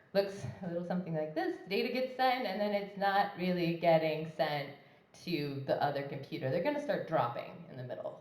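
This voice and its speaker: Speech moves at a fairly quick pace with very wide pitch swings. Noticeable background noise and audible room echo run through the clip. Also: woman. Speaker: conference speaker. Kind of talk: tech talk. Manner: fast; casual, many fillers.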